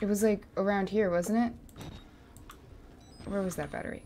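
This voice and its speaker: A woman speaks over light background noise. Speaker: gamer. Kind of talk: angry rant while gaming. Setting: livestream gameplay. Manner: frustrated, sarcastic, exasperated. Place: home room. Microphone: studio mic.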